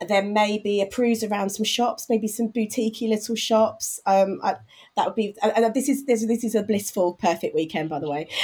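This is a woman with a fairly high pitch. Her voice is somewhat breathy. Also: ordinary pitch variation, moderate pace. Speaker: marketing director. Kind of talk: interview.

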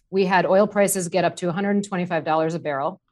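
A woman with a normal speaking voice, medium pitch, ordinary pitch variation and an American accent. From US Midwest, Wisconsin. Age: 30s. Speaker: market strategist. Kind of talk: casual market discussion.

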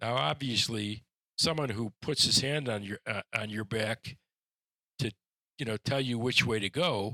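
A man with an American accent, medium-pitched, with ordinary pitch variation and a bright, sharp tone at a moderate pace, in a very clean recording with a silent background and a dry, close sound with no echo. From Detroit, Michigan, US Midwest. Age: 70s. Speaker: attorney and author. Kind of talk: interview.

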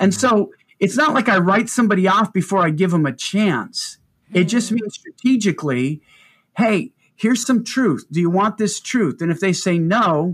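A man's high-pitched voice with lively intonation at a moderate pace, on a very clean recording with a silent background. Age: 50s. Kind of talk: interview.

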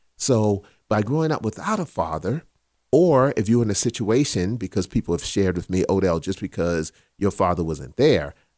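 Here is a man with an ordinary speaking voice and an American accent, talking at a moderate pace with a fairly low pitch and lively intonation, on a very clean recording with a silent background and a dry, close sound with no echo. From South Carolina. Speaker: podcast co-host. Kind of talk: casual chat.

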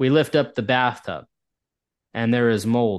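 In a normal speaking voice, a man with an American accent keeps a moderate pace and fairly even intonation against a quiet background. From US Northeast. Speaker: indoor air quality expert. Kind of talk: interview.

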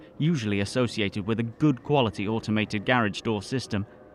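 The pitch moves in an ordinary way. The delivery is a natural reading voice.

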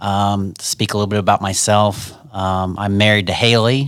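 This man has a plain, everyday voice and an American accent. His pitch is fairly low, his intonation fairly even, and his pace moderate. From Ohio. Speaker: grain farmer. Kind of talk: interview.

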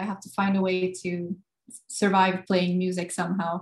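A woman speaks in a somewhat breathy voice. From Sweden, Gothenburg. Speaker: guitarist. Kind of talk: interview. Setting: video call.

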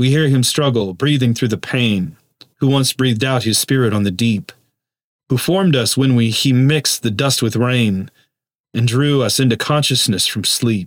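A man with an unremarkable speaking voice talks at a medium pitch with ordinary pitch variation and very even loudness on a very clean recording with a silent background. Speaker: podcast host. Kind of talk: meditation with a poem read aloud, in a hushed, solemn devotional tone. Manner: slow, reverent, measured, soft-spoken.

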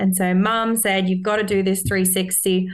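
A woman with an Australian accent is heard with audible room echo. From Australia, Sydney. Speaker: Olympic mogul skier. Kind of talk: casual interview.

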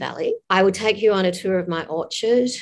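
This is a woman talking in an Australian accent. She moves along at a fairly quick pace. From Tasmania, Australia. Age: 60s. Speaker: author. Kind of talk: interview. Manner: animated.

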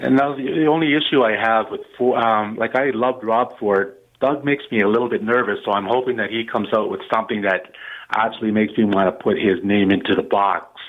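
This man has a Canadian accent and talks at a fairly quick pace, with a medium pitch and ordinary pitch variation. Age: 50s. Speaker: caller. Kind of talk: call-in radio. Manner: halting.

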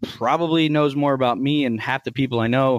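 A man's unremarkable speaking voice, medium in pitch, with an American accent, fairly even intonation and a moderate pace, in a dry, close sound with no echo on a very clean recording with a silent background. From Texas, central. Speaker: bitcoin miner and tech executive. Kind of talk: interview.

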